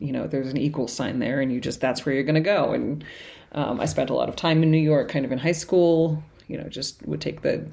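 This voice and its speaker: A woman speaks fairly quickly in an American accent, her pitch very deep and low. Her tone is dark and mellow, with vocal fry and fairly even intonation. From New England, Cambridge, Massachusetts. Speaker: painter. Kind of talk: casual interview. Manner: halting, many fillers and repetitions.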